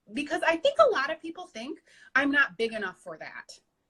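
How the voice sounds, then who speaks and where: A woman talks with a raised, projected voice in a Michigan accent. Her tone is bright and sharp, and her pace is moderate. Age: 30s. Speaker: weight loss success story guest. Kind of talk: interview, personal testimony.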